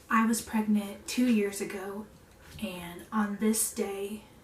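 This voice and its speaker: Against noticeable background noise, a woman of medium pitch speaks at a very slow pace. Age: 20s. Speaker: stay-at-home mom and vlogger. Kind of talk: casual vlog chat.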